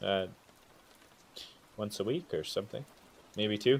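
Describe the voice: A man's put-on character voice, fairly low in pitch, with a slightly husky edge and vocal fry. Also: ordinary pitch variation, fairly slow pace.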